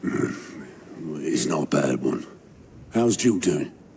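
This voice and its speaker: A man uses a put-on character voice, raspy and at a very deep, low pitch. He goes at a fairly slow pace over clear background noise. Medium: video game. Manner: grounded, matter-of-fact.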